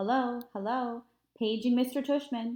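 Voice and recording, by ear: A put-on character voice comes from a woman. Her pitch is high and her pace moderate.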